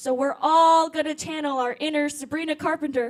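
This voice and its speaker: At a moderate pace, a woman talks in an animated tone with a high pitch. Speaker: program organizer. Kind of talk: event hosting. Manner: loud.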